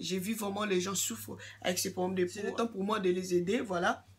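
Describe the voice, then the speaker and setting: A woman at medium pitch with ordinary pitch variation and a fairly quick pace. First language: English (speaking French). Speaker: YouTuber giving skin care advice. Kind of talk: casual vlog monologue. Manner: halting, many fillers and repetitions.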